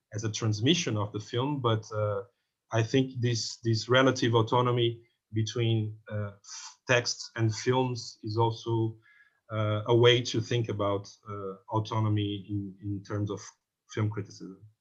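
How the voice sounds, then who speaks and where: A man speaks in a Portuguese accent at a fairly slow pace. His voice is somewhat breathy, with monotone, flat intonation. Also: medium pitch for a man. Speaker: film critic. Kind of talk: panel discussion. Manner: halting, many repetitions and fillers.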